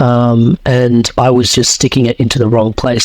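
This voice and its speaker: With an Australian accent, a man of medium pitch talks at a fairly quick pace over noticeable background noise. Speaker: coach and podcaster. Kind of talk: podcast interview. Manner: hesitant, many fillers.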